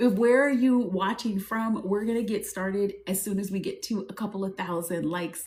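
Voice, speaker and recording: Amid noticeable background noise, a woman with an American accent and a medium pitch talks in an animated tone at a moderate pace. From US South, New Orleans. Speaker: spiritual advisor and business coach. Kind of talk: live stream. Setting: TikTok live stream.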